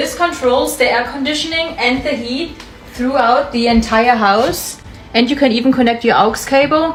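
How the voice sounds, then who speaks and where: Music plays behind a woman with a German accent who speaks at a moderate pace in a high pitch with ordinary pitch variation. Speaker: expat content creator. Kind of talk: house tour vlog.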